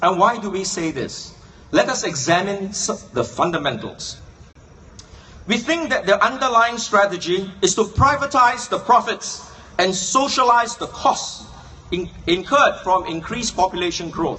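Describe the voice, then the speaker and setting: He is a man with a high-pitched voice. His intonation stays lively. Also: moderate pace. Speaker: political speaker. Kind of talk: political speech. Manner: rhetorical, questioning.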